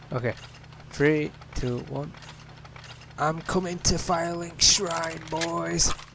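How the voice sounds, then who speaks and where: Over noticeable background noise, a man with a fairly high pitch talks at a very slow pace, with fairly even intonation and long, frequent pauses. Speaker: gaming YouTuber. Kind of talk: casual gameplay commentary.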